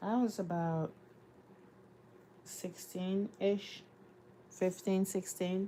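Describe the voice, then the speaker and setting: A woman with a West African accent, medium in pitch and dark and mellow in tone, in a monotone, flat delivery at a very slow pace with long, frequent pauses. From Cameroon. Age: 30s. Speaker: lifestyle vlogger. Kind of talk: casual livestream chat while doing chores.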